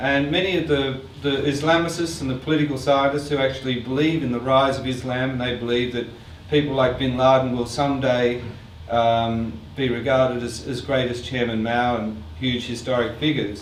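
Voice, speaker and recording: A man speaks at a moderate pace in a medium pitch with fairly even intonation. Both noticeable background noise and audible room echo can be heard. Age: 60s. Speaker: artist and filmmaker. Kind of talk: artist talk Q&A with audience.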